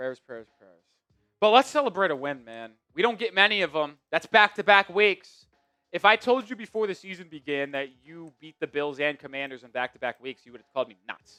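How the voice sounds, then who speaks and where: In a New York accent, a man speaks with an animated tone at a fairly quick pace, his high pitch making very wide swings and his loudness shifting greatly. The sound is dry and close with no echo, and music plays in the background. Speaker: sports show host. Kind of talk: casual chat.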